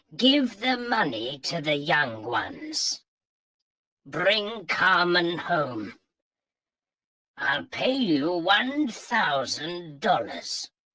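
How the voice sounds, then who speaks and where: A put-on character voice swings very widely in pitch. It moves at a very slow pace with long, frequent pauses. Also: man, high pitch for a man. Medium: read story. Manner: commanding.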